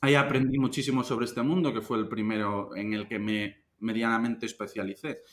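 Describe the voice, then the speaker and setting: Speaking at a fairly quick pace with hardly any pauses, a man talks in a Galician accent. His pitch is medium with ordinary variation. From Galicia, Spain (A Coruña). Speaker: investment fund manager. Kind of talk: interview. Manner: casual, conversational.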